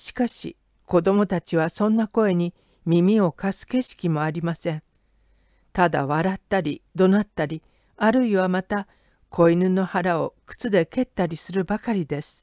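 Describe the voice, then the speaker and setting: Dark, mellow tone at a fairly slow pace, dry and close with no echo. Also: woman, medium pitch for a woman, ordinary pitch variation, quiet background. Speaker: audiobook narrator. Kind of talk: literary audiobook reading, scripted narration of a short story. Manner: measured, steady storyteller pacing; expressive, shifting from calm scene description to tense, dramatic delivery.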